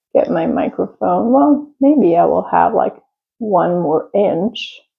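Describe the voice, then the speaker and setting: Her intonation is lively. The woman speaks at a fairly high pitch. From Czech Republic. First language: Czech or Italian. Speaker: crafter and small business owner. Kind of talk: casual chat. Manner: halting.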